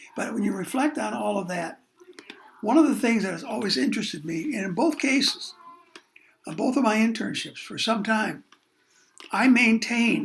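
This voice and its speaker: At a moderate pace, a man with a high pitch speaks with long, frequent pauses. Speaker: college course instructor. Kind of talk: recorded lecture. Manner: halting, with fillers.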